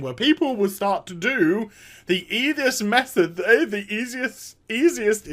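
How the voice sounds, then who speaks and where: In a strained, put-on character voice, the speaker talks fairly slowly at a fairly high pitch. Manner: silly, mocking.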